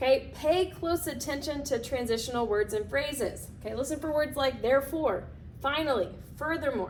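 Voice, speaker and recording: A woman speaks loudly in an animated tone, her pitch high, at a moderate pace. Audible room echo surrounds her voice. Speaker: teacher. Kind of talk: lecture.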